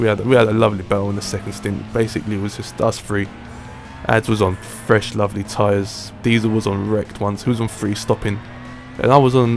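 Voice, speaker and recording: With music in the background, a fairly low-pitched man talks very fast in a monotone, flat intonation. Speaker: sim racing gamer. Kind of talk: gameplay race commentary. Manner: casual.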